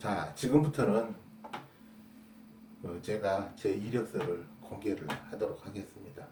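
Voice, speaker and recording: Speech comes at a very slow pace, with noticeable background noise and audible room echo. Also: man. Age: 60s. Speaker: construction defect repair specialist and YouTuber. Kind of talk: casual explanatory talk to camera. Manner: hesitant with fillers.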